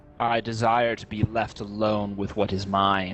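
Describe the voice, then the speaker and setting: Over clear background noise, a man puts on a character voice, fairly low and monotone with flat intonation, at a moderate pace. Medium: actual play. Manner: cold, imperious.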